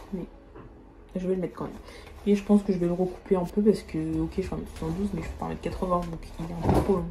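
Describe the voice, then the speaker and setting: Speech comes out very fast in a flat monotone. Noticeable background noise sits behind it. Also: woman. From rural France. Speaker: fashion YouTuber. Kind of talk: try-on haul vlog. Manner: casual, chatty.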